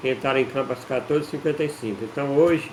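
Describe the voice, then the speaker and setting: A man's fairly high voice at a fairly quick pace, fairly even in intonation, over noticeable background noise. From Brazil, Ceará interior (Northeast). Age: 60s. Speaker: amateur football historian, channel owner. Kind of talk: casual talk-to-camera history explainer. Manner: halting, with repetitions and fillers.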